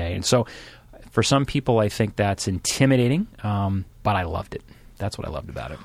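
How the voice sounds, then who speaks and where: Here a man is speaking. His pace is very fast. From Massachusetts, Boston area (Randolph). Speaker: former transportation official. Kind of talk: interview.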